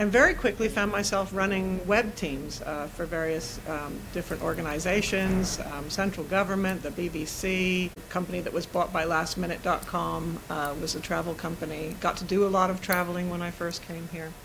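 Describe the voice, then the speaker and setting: With an American accent, a woman with a fairly low voice talks at a moderate pace with hardly any pauses and fairly even intonation, in a room with audible echo and noticeable background noise. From US, New York and California. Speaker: systemic coach and facilitator. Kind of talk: interview conversation.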